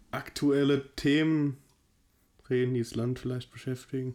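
Medium male pitch in a dark, mellow tone, flat and monotone throughout. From Hesse, near Frankfurt. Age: 20s. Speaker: podcast co-host. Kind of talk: casual chat.

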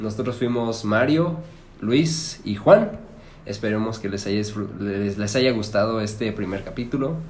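Audible room echo accompanies a man whose medium-pitched voice moves at a fairly slow pace with ordinary pitch variation. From Mexico, Celaya, Guanajuato. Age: 20s. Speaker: podcast co-host. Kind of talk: casual chat.

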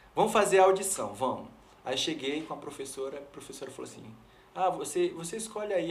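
A man with a high pitch talks at a fairly quick pace with lively intonation, amid noticeable background noise and audible room echo. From São Luís, Maranhão, Brazil. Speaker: pastor and worship leader. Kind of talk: interview testimony.

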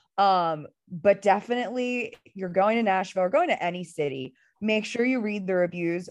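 Lively intonation and an animated tone at a moderate pace over a quiet background. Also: woman. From Philadelphia. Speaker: podcast co-host. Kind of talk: casual chat. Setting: lying on couch at home.

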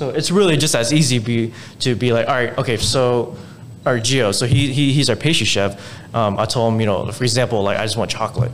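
This man's voice sits at a medium pitch with ordinary variation. There is noticeable background noise and audible room echo. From Houston, Texas. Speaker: restaurant owner. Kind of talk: casual interview.

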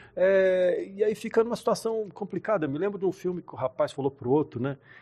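On a very clean recording with a silent background, a man speaks in a high voice at a fairly quick pace, with very wide pitch swings. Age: 60s. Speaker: pastor and church musician. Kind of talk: casual chat.

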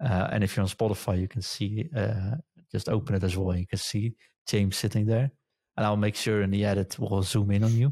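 A man's somewhat breathy, dark and mellow voice, fairly low in pitch, at a fairly quick pace with fairly even intonation and very even loudness, in a dry, close sound with no echo on a very clean recording with a silent background. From Netherlands. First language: Dutch. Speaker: podcast host. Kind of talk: casual chat.

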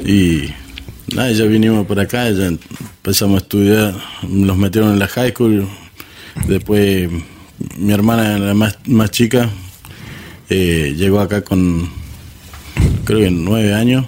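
Delivered at a very slow pace with long, frequent pauses, the speech keeps a fairly even intonation. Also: man, fairly low pitch for a man, very even loudness. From Córdoba, Argentina. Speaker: guest, friend of the hosts. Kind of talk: casual chat.

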